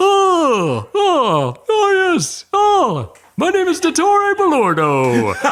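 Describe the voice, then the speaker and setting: In a put-on character voice with an extremely high pitch, the speaker goes at a very slow pace with hardly any pauses. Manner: pompous, arrogant.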